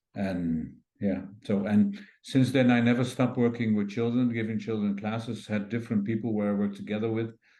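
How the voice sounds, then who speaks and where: Against audible room echo, a man with a dark, mellow tone and medium pitch speaks at a fairly quick pace with fairly even intonation. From Netherlands. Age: 60s. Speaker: craniosacral therapy teacher and physiotherapist. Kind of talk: interview. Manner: halting.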